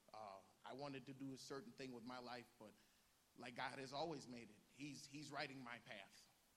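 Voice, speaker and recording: Audible room echo surrounds a man with an American accent who speaks at a moderate pace, medium in pitch, with fairly even intonation. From northeast Ohio, US. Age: young. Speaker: youth pastor. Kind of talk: personal testimony. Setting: church service with congregation. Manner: halting.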